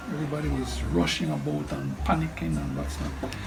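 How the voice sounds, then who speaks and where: A man speaks at a very fast pace. Music plays in the background, and room echo is audible. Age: 70s. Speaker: storm survivor. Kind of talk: oral history interview testimony. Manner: halting with repetitions.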